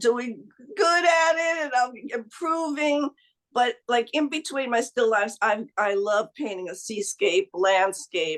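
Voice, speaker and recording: The speaker has a slight New Jersey accent. The pace is very slow. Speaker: amateur painter, online course member. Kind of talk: casual interview chat. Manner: halting, many fillers and restarts.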